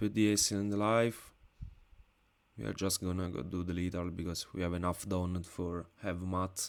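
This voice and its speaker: A man's very deep, low-pitched voice with a non-native accent. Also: fairly even intonation, moderate pace. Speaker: card game content creator. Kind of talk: live gameplay commentary.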